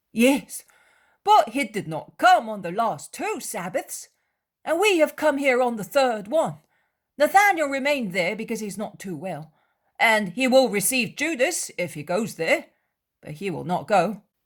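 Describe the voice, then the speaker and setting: Over a silent background on a very clean recording, a hoarse, put-on character voice with a fairly high pitch is raised and projected, moving at a moderate pace with very wide pitch swings. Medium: read story. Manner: talkative, impulsive.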